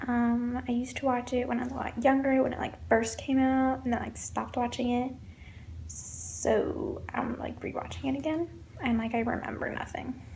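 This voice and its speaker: A soft-spoken woman talks at a moderate pace. The room echo is audible, and there is noticeable background noise. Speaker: vlogger. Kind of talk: casual vlog monologue. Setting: indoors at home.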